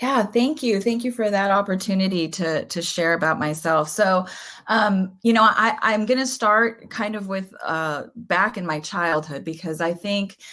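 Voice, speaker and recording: Bright and sharp in tone, a woman speaks at a medium pitch and a fairly slow pace, with ordinary pitch variation and hardly any pauses. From Southern California. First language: Spanish. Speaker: author and education speaker. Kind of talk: podcast interview. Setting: podcast.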